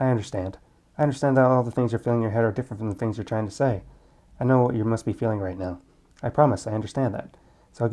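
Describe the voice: This recording is plain reading aloud.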